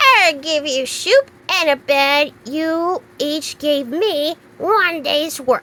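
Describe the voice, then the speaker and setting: Delivered in a put-on character voice, this raised, projected speech moves at a very slow pace with hardly any pauses. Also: woman, high pitch for a woman. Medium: read story. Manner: curt.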